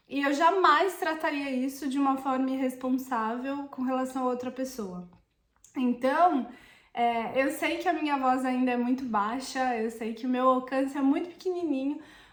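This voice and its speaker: A woman's high voice at a moderate pace, ordinary pitch variation, and an audible room echo. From Brazil. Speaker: Italian citizenship consultant. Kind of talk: vlog monologue. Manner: hesitant, with fillers.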